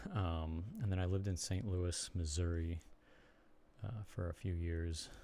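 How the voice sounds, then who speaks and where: At a fairly slow pace, a man with an American accent speaks at a very deep, low pitch, his dark, mellow tone somewhat breathy and his intonation fairly even. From US Midwest, Chicago area. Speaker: streamer and blogger. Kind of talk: casual live stream chat. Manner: halting, many fillers.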